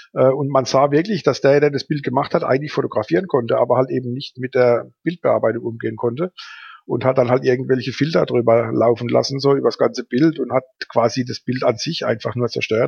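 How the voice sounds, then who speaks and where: Somewhat breathy, a man speaks at a fairly quick pace. His pitch is medium, with ordinary variation. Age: 50s. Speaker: advertising agency owner and photographer. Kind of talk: casual interview. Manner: hesitant, many filler sounds.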